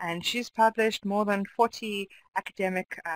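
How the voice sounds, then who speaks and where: Recorded with a dry, close sound and no echo, a woman with an ordinary speaking voice talks at a moderate pace and medium pitch. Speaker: webinar host and academic. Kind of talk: formal introduction. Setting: video call.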